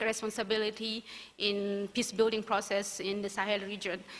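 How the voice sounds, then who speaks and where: A woman's bright, sharp voice with a non-native accent. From northern Mali (Timbuktu). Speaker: founder of a peace-building organization, alumna speaker. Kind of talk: keynote speech. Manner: halting, many fillers and restarts.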